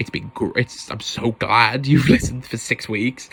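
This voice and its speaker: A loud man with a bright, sharp, animated tone. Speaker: podcast host. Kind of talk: casual solo podcast monologue. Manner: loud, animated.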